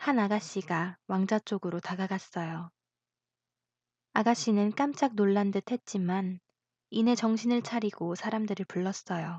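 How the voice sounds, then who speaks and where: In a calm, gentle tone, a woman of medium pitch speaks fairly slowly and somewhat breathily, with ordinary pitch variation and a dry, close sound with no echo. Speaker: voice actor. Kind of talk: audiobook fairy tale narration.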